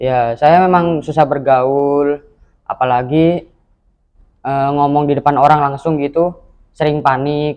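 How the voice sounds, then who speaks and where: Speaking at a fairly slow pace, a man uses a fairly high pitch and a monotone, flat delivery. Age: 20s. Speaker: university student, mental health survivor. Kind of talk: interview testimony. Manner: brief, short answers.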